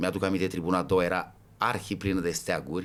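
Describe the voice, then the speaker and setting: This is a man with a very deep, low pitch. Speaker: football ultras veteran. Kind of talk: podcast interview.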